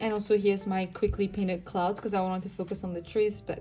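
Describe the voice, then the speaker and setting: Somewhat breathy and dark, mellow in tone, a woman at medium pitch speaks at a fairly quick pace. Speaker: art youtuber. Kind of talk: sketchbook tour talk. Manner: casual, rambling.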